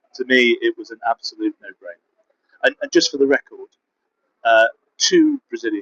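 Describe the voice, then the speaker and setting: Speaking at a moderate pace, the man has a British accent. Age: 60s. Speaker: competitive bodybuilder and coach. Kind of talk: casual vlog monologue. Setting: travel vlog in Budapest.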